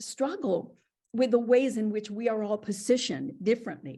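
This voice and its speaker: Somewhat breathy and fairly high, a woman's voice has a dark, mellow tone, ordinary pitch variation and a moderate pace. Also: quiet background. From Puerto Rico. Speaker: professor. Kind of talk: academic dialogue. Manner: animated.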